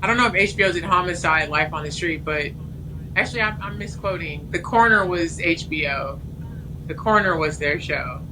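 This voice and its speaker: Fairly low-pitched woman's voice in an American accent, fairly quick, with ordinary pitch variation, audible room echo and noticeable background noise. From California (Los Angeles). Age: 40s. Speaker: TV writer. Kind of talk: casual interview chat.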